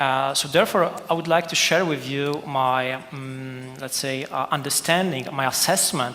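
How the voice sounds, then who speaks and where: A man with a Polish accent talks at a fairly slow pace, his fairly high pitch kept in fairly even intonation. Noticeable background noise and audible room echo fill the recording. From Poland. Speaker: policy expert panelist. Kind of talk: conference panel talk. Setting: conference hall.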